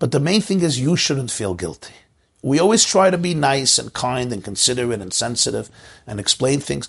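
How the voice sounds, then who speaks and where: A man with an American accent speaks in a somewhat breathy voice, his pitch swinging very widely. The background is quiet. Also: medium pitch for a man, moderate pace. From US Northeast, Brooklyn. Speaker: rabbi giving a class. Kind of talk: lecture. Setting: online video call class.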